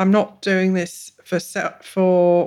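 A woman speaks with an English accent at a fairly low pitch. The recording is very clean, with a silent background. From England. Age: 40s. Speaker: mental health client. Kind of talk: personal testimony.

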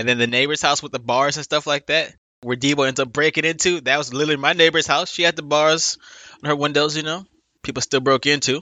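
Talking at a very fast pace, a man with an American accent uses a fairly high pitch and fairly even intonation. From Los Angeles, South Central. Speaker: movie podcast guest. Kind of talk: casual chat.

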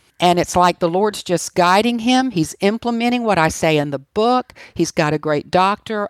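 A woman with an American accent speaks in an ordinary speaking voice at medium pitch and a moderate pace, her intonation lively and her loudness very even, with hardly any pauses in a dry, close sound that has no echo. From US, Washington, D.C. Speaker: author and cancer survivor. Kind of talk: interview.

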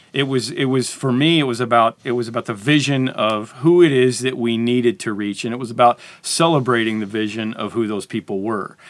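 A man with a plain, everyday voice speaks at a fairly quick pace with hardly any pauses. His medium pitch shows ordinary variation. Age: 50s. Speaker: pastor. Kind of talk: casual chat.

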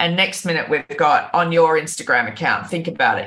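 Talking at a very fast pace, a woman with an Australian accent uses a fairly low pitch. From Australia, New South Wales (Byron Bay). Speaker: online safety educator, company founder. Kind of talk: radio interview. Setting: remote call from abroad.

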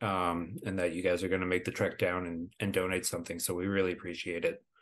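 A man with an American accent, a very deep, low pitch and a fairly quick pace against a quiet background. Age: 30s. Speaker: supporters club organizer. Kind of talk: casual chat.

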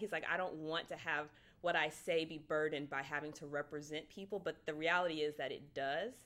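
This woman has an ordinary speaking voice, fairly low in pitch and fairly quick in pace. The recording is very clean, with a silent background. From Texas. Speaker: business school student. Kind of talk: casual discussion.

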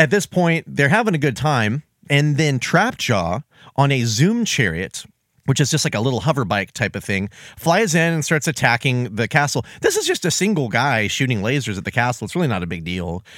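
Vocal fry from a medium-pitched man at a fairly quick pace, with very wide pitch swings, in a very clean recording with a silent background. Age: 30s. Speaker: podcast co-host. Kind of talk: casual chat.

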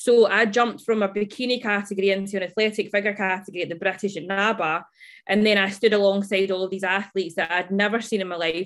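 A woman speaks very fast in a Scottish accent. The recording is very clean, with a silent background. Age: 20s. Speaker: fitness coach. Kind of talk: casual interview chat.

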